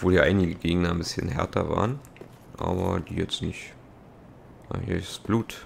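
This man has a very deep, low voice and ordinary pitch variation. He keeps a moderate pace but leaves long, frequent pauses. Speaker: let's play gamer. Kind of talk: gameplay commentary. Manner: casual, frequent laughs.

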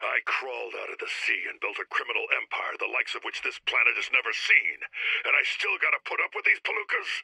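Racing at a very fast pace, a man uses a put-on character voice with an extremely high pitch. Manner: brash, threatening, gruff.

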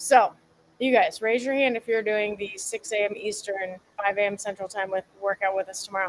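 A woman at a moderate pace with fairly even intonation, amid light background noise. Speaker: fitness coach. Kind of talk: casual livestream chat. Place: garden. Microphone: phone near.

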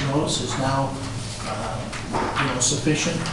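Strong room echo and noticeable background noise surround the speech of a man. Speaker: property owner giving public comment. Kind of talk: public comment. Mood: frustrated, insistent. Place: hall. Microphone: camera far.

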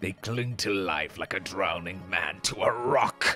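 The speaker uses a put-on character voice. Clear music plays in the background. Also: man. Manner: menacing, gratuitously villainous.

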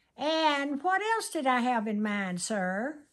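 Against a quiet background, a woman talks at a very slow pace, her pitch swinging very widely. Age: 80s+. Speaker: grandmother. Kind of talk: casual interview answer. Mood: playful, humorous. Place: home room. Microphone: phone near.

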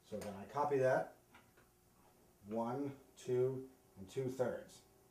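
A man speaks with audible room echo around him. Light background noise sits behind his voice. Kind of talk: tutorial. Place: home room.

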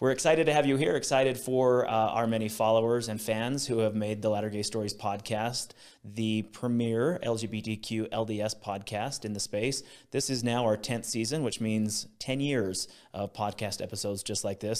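A man's voice comes at a moderate pace, its pitch varying in an ordinary way, with a quiet background behind it. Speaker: podcast host. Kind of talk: podcast intro to camera. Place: studio. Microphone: studio mic.

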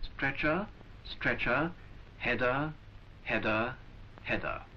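Noticeable background noise runs under this recording. A man speaks at a fairly slow pace with a fairly high pitch. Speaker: film narrator. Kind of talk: 1940s vintage educational film narration, scripted voiceover. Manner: formal, measured, clipped and authoritative; slow, deliberate, instructional.

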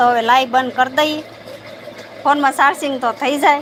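Amid noticeable background noise, a woman speaks in a high, monotone, flat voice. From Gujarat, Bhavnagar district (Saurashtra). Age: 60s. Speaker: village live-streamer. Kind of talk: casual live stream chat with viewers.

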